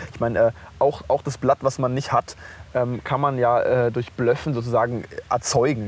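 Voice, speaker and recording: In a relaxed tone, a man speaks at medium pitch with fairly even intonation. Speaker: podcast co-host. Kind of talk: casual chat. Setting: outdoors on a park bench.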